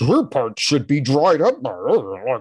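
A man's put-on character voice, fairly high in pitch and fairly slow. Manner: mocking.

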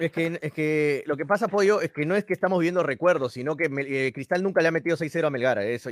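A man talks at a very fast pace with lively intonation, the sound dry and close with no echo. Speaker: football pundit. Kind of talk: radio football talk show.

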